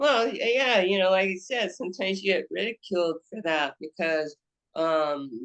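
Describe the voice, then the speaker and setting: Lively in intonation and medium in pitch, a woman talks at a moderate pace with a dry, close sound and no echo. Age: 60s. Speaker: actress and painter. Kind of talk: podcast interview. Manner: halting, many restarts.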